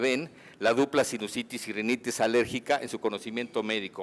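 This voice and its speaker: This man has a normal speaking voice, with medium pitch, ordinary pitch variation and a fairly quick pace. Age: 60s. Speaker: physician giving a conference talk. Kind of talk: medical lecture.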